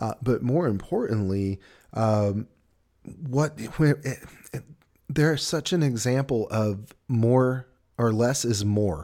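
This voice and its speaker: A man with a Southern US accent and a dark, mellow tone talks at a very slow pace, leaving long, frequent pauses. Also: medium pitch for a man, ordinary pitch variation, very clean recording, silent background. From US South. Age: 40s. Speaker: podcast host. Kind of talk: casual chat. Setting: studio.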